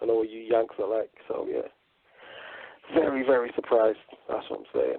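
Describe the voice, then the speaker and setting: Here a man speaks in a British accent. He talks at a fairly quick pace. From northern England, Manchester. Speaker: radio co-host. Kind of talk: casual chat.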